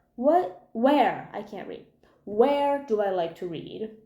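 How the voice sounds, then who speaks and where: The tone is dark and mellow, with lively intonation. Audible room echo surrounds the voice. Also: woman. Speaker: booktuber. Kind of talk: casual vlog monologue. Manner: animated.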